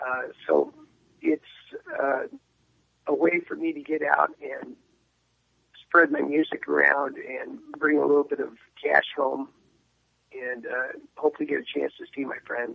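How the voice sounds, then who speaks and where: A man with an American accent talks at a fairly slow pace, his loudness swinging widely and his speech broken by long, frequent pauses. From San Diego, California. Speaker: singer-songwriter. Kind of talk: radio interview. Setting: phone call.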